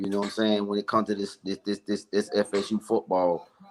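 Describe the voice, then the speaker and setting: A man's fairly low-pitched voice. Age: 30s. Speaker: sports fan, caller on stream. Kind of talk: casual chat.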